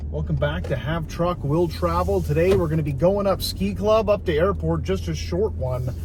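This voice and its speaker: A man talks with hardly any pauses. Room echo is audible, and there is noticeable background noise. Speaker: vlogger. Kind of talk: casual monologue while driving. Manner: fast.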